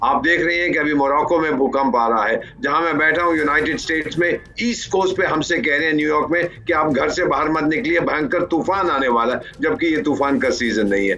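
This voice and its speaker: Fairly high in pitch, a man speaks at a moderate pace with lively intonation, very even loudness and hardly any pauses. Noticeable background noise is present. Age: 70s. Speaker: foreign affairs expert. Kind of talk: news panel discussion.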